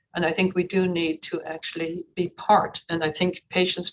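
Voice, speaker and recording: This woman speaks with an Irish accent at a moderate pace. Her pitch sits in the medium range. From Ireland. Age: 60s. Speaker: conference participant. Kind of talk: audience comment in online Q&A. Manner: animated.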